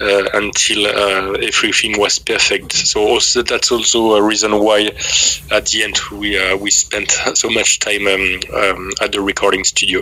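A man with a French accent speaks at a moderate pace in a fairly low pitch, with monotone, flat intonation and very even loudness. Noticeable background noise runs behind him. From France. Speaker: metal band vocalist and bassist. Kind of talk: interview. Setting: video call. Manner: halting.

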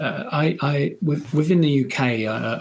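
The speaker has a British accent, and there is noticeable background noise. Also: man. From United Kingdom. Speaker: supply chain consultant. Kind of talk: interview. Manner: halting, with frequent repetitions.

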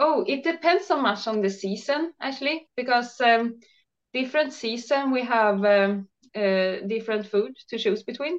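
Against a quiet background, a woman with a high pitch speaks at a moderate pace. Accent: Swedish. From Sweden. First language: Swedish. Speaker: raw food chef and blogger. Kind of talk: casual interview chat. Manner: hesitant, halting with fillers.

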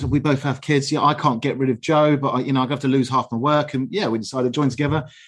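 In a southern English accent, a man speaks very fast in a fairly high pitch with an upbeat tone. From southern England (Aldershot, Hampshire). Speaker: heating engineer and business director. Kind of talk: interview.

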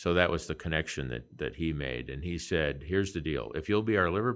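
Vocal fry and a Midwestern US accent at a moderate pace, on a very clean recording with a silent background. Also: man. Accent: US Midwest. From Nebraska. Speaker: physician and healthcare investor. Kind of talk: interview conversation.

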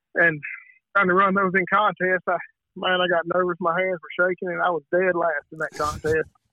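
A moderate pace and monotone, flat intonation, in a Southern US accent. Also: man, high pitch for a man. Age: 30s. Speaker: turkey call maker and competition caller. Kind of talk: casual interview.

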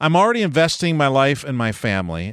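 A man with an American accent speaks at a moderate pace. The recording is very clean with a silent background, dry and close with no echo. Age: 50s. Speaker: pastor and podcast host. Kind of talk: solo podcast monologue. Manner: personal, conversational.

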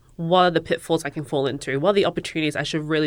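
The woman's voice sits at a very deep, low pitch, with fairly even intonation. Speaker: engineer. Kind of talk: casual interview.

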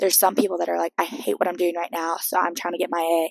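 A woman's voice, dry and close-miked, with no echo. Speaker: podcast host. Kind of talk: casual monologue. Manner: animated.

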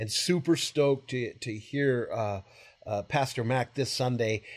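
The background is quiet. A man speaks in a somewhat breathy voice. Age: 40s. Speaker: pastor. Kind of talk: teaching discussion about the Bible. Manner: halting, many fillers.

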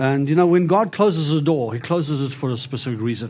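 Talking at a very fast pace in a South African accent, a man keeps a medium pitch with ordinary pitch variation. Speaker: prophet, author and preacher. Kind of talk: sermon and testimony with prayer.

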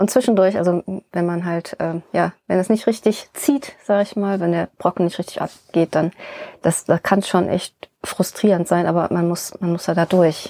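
With an unremarkable speaking voice, a woman speaks at a fairly low pitch and a moderate pace, her intonation fairly even and the sound dry and close with no echo. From Rhineland, Germany (born in Bonn). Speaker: sculptor and stonemason. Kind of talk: casual interview.

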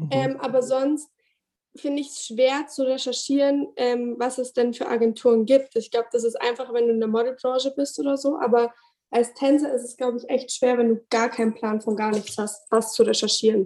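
At a moderate pace, a woman speaks in a high pitch with a dark, mellow tone and fairly even intonation. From Bavaria, Ingolstadt. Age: 20s. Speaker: dancer and choreographer. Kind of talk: interview. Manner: hesitant with fillers.

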